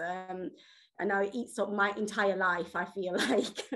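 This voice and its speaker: A woman speaks in a Yorkshire accent at a moderate pace, her medium-pitched voice monotone and flat. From Yorkshire, England. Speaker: health campaigner. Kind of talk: personal testimony. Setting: video call.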